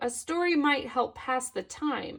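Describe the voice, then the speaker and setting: Soft-spoken and high-pitched, a woman performs a put-on character voice. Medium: read story. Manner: soft, dreamy.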